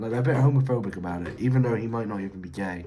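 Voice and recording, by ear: A man's medium-pitched, slightly mellow voice in strong room echo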